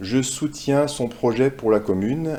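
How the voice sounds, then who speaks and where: A man's dark, mellow tone sits at a medium pitch with ordinary pitch variation. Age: 50s. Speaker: doctor. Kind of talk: campaign testimonial.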